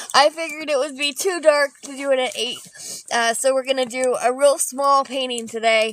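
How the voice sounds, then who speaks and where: A loud woman's voice, high-pitched, at a fairly quick pace. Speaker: artist and painting livestreamer. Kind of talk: live painting stream chat. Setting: outdoors in the snow. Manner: hesitant, many fillers.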